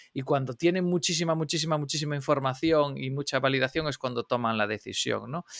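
Speaking at a very fast pace with hardly any pauses, a man uses a fairly high pitch and ordinary pitch variation, and the sound is dry and close with no echo. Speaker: podcast co-host. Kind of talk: podcast interview. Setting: remote call.

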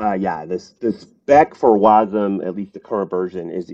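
The sound is dry and close with no echo. A man speaks at a moderate pace in a dark, mellow tone. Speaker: software startup founder. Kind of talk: interview. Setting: remote call.

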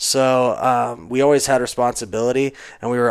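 A man with an unremarkable speaking voice at medium pitch, talking at a moderate pace on a very clean recording with a silent background. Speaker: cider company owner. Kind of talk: casual chat.

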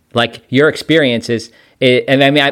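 Fairly quick and at medium pitch, a man talks in an ordinary speaking voice with ordinary pitch variation. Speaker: podcast host, Salvation Army officer. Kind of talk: casual interview.

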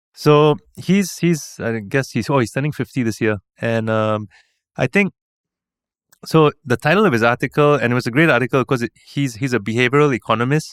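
Fairly quick speech with ordinary pitch variation, in a dry, close sound with no echo on a very clean recording with a silent background. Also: man, medium pitch for a man. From Singapore. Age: 40s. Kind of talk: casual interview chat.

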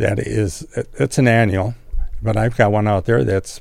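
The man's voice is fairly low in pitch. Vocal fry runs through his speech. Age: 70s. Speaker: master gardener. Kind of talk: casual radio chat. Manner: hesitant, filler-heavy.

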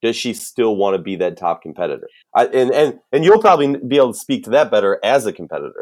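Someone talks at a very fast pace with a Minnesotan accent. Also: man. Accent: Minnesota. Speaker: sports podcast host. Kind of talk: casual sports analysis chat. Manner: casual, jokey, enthusiastic.

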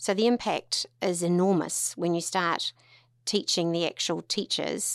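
In a New Zealand accent, a woman at a medium pitch speaks at a fairly slow pace with ordinary pitch variation, sounding dry and close with no echo on a very clean recording with a silent background. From New Zealand, Tauranga. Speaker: lawyer and charity founder. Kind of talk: interview conversation.

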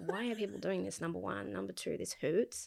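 This woman speaks with a New Zealand accent. Her pace is moderate. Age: 20s. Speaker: spiritual healer. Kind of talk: casual chat.

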